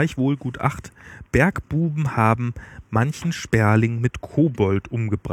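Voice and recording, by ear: A natural voice reads the text aloud, its pitch varying in an ordinary way.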